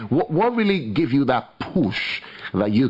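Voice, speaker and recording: A man speaks over noticeable background noise. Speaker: radio host. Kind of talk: radio show. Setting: radio studio.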